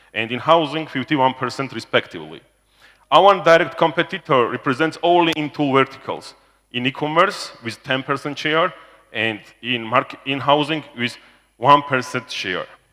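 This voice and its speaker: Delivered at a moderate pace, the speech has a bright, sharp tone, ordinary pitch variation and a Georgian accent. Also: man, fairly high pitch for a man. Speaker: business executive presenting to investors. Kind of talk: corporate presentation. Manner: loud; halting, with fillers.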